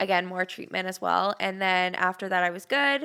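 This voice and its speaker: A woman with a Canadian accent speaks at a medium pitch in a bright, sharp tone. The recording is very clean, with a silent background. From Ontario, Canada. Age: 20s. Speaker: cancer survivor. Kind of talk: podcast interview. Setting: studio.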